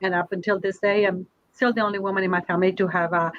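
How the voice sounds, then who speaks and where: A woman with a Spanish accent talks at a very fast pace in a medium pitch. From Colombia, Bogota. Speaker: university administrator, panelist. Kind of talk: panel discussion.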